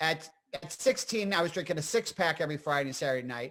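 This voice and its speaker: Animated and lively in intonation, a man with a northeastern Pennsylvania accent talks at a fairly quick pace in a bright, sharp tone at a fairly high pitch. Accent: northeastern Pennsylvania American. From northeastern Pennsylvania (Scranton). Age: 60s. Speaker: comedian and actor. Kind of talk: casual interview chat.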